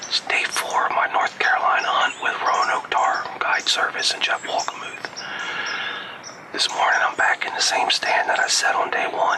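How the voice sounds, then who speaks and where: A whisper at a moderate tempo, with noticeable background noise behind it. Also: man. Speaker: hunting show pro-staffer. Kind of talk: hunting video self-narration. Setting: outdoors in a tree stand. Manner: casual, with filler words.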